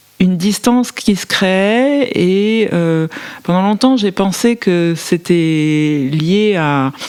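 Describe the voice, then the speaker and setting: A woman speaks at a very slow pace in a medium pitch, her intonation lively, with noticeable background noise behind her. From France, Paris. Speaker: novelist. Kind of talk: literary interview. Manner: hesitant, many fillers.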